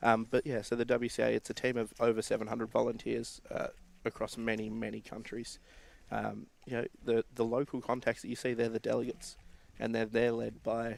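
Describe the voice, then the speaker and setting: Here a man speaks with an Australian accent. He keeps a fairly quick pace. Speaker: board member of a volunteer sports organisation. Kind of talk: live stream interview. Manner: halting, with many fillers and repeats.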